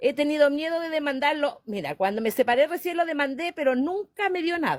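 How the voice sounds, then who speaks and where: A woman speaks at a high pitch and a fairly quick pace with lively intonation, in a dry, close sound with no echo. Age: 60s. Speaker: caller. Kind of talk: call-in question.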